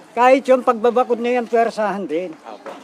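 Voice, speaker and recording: A man speaks at a fairly quick pace with an extremely high pitch. Noticeable background noise sits behind him. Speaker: farmer. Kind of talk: on-the-spot interview. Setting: outdoors at a protest site.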